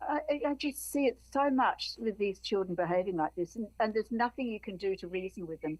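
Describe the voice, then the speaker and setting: A woman's fairly high pitch with lively intonation at a fairly quick pace. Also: hardly any pauses. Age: 70s. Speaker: activist. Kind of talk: podcast interview. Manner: halting.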